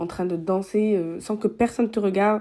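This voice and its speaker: A woman's dark, mellow tone comes through on a very clean recording with a silent background. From southern France. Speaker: podcast host. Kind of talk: casual podcast monologue. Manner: hesitant, many fillers.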